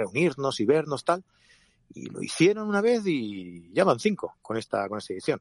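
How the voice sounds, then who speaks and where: Moderately paced male speech, pitch leaping across a very wide range. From Catalonia, of Andalusian roots. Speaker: podcast co-host, photographer and event producer. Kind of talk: casual chat. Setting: in a car.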